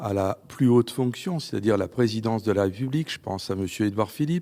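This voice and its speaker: A man's medium-pitched voice, dark and mellow, at a fairly quick pace with lively intonation, on a very clean recording with a silent background. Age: 60s. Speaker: politician. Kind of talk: TV interview.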